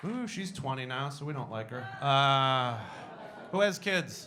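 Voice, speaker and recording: In an American accent, a man speaks at a moderate pace and fairly high pitch with ordinary pitch variation, and audible room echo surrounds his voice. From Boston. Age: 40s. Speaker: stand-up comedian. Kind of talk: stand-up. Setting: stage with audience.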